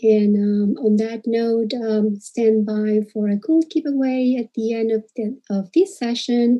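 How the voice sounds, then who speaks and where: A woman's somewhat breathy, fairly high-pitched voice at a fairly slow pace, with ordinary pitch variation. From Peru. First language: Spanish. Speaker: dental hygienist. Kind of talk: presentation. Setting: live stream. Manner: hesitant, many fillers.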